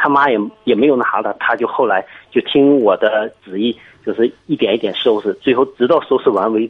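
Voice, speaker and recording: A man talks fairly quickly with music going in the background. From Jiangsu, Kunshan. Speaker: caller, father of a toddler. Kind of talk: phone-in advice call. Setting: phone call. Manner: halting, many fillers.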